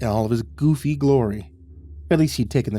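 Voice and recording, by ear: The clip is reading aloud in a natural voice.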